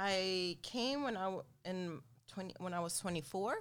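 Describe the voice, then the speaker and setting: Her pace is very slow. The woman speaks at a medium pitch with ordinary pitch variation. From Sweden (Lund, far south), Latin American parents. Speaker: boxing champion and fitness trainer. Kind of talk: interview. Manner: frequent laughter.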